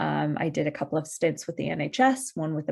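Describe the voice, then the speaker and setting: Her voice fairly low in pitch, a woman speaks with an American accent. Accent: American-sounding. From US (Midwest), partly North Wales. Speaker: tech industry professional, career fair speaker. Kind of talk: presentation. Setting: online video call. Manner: fairly fast-paced.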